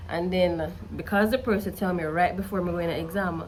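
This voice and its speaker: In a room with audible echo, a woman with a Jamaican accent talks fairly quickly at a fairly low pitch. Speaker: study tutor and student youtuber. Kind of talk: casual vlog advice.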